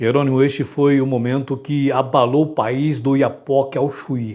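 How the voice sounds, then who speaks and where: Music plays behind the speaker. He is a man talking at a medium pitch. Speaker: radio broadcaster and interviewer. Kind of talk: interview host narration.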